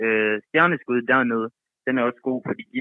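A man has an unremarkable speaking voice with fairly even intonation. He speaks at a fairly slow pace. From Thyborøn, western Jutland, Denmark. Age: 20s. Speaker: caller. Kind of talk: casual chat.

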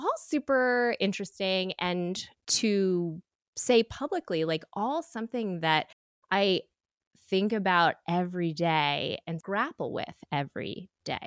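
Against a quiet background, a woman with an American accent speaks very slowly at a medium pitch with lively intonation. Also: dry, close sound with no echo. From United States. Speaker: sewing studio owner and teacher. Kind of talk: casual interview.

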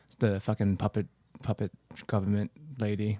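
On a very clean recording with a silent background and a dry, close sound with no echo, a man with a non-native accent speaks at a moderate pace and fairly low pitch. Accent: foreign-accented English. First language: not English. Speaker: podcaster. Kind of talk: casual chat.

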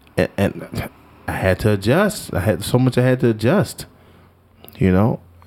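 A man with an American accent at medium pitch, with lively intonation, very even loudness, a moderate pace and long, frequent pauses, over noticeable background noise. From Washington, D.C. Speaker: jazz saxophonist and educator. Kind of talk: casual interview.

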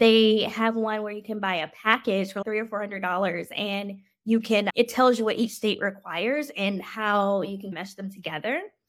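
A woman talks with an ordinary speaking voice at a medium pitch. Her pace is moderate. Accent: American. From Washington DC metro area, US. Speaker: physician. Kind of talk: interview.

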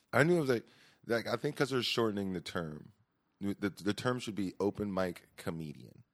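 A man speaks in a plain, everyday voice with an American accent, fairly low in pitch and fairly quick, with lively intonation. The recording is very clean with a silent background and a dry, close sound with no echo. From California (Stockton). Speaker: stand-up comedian. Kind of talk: casual chat.

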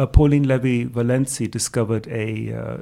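Speaking with a German accent, a man has a dark, mellow tone. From Greece. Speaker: translation professor. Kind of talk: interview answers. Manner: measured, hesitant with repeated words.

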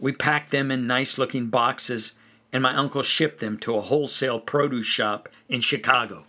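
What you hear is a natural reading voice. The text is being read out.

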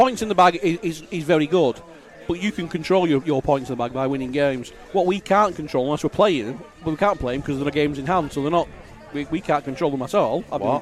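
The speech moves at a very fast pace. Noticeable background noise runs underneath it. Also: man, fairly high pitch for a man, ordinary pitch variation. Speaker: co-commentator, club supporter. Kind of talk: casual match chat and analysis. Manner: conversational, hesitant, self-correcting.

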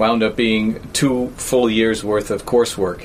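A man talks with a New York accent. There is noticeable background noise. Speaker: university professor. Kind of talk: interview.

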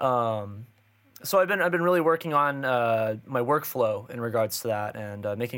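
In an unremarkable speaking voice, a man speaks at a moderate pace and medium pitch with ordinary pitch variation, on a very clean recording with a silent background. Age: 20s. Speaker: drummer and music instructor. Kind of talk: casual chat.

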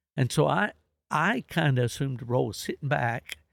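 The delivery moves at a fairly quick pace. Vocal fry runs through the voice. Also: man. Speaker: coonhound history expert. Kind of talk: casual interview chat.

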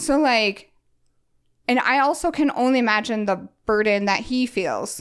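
On a very clean recording with a silent background, a woman uses a plain, everyday voice at a moderate pace with ordinary pitch variation. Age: 30s. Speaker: minimalism and organizing business owner. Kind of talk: casual chat.

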